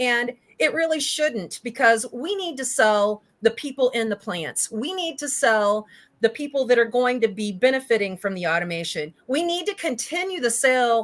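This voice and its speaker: With very wide pitch swings, a woman speaks in a high voice in a very clean recording with a silent background. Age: 50s. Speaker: automation company owner. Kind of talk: live-streamed interview.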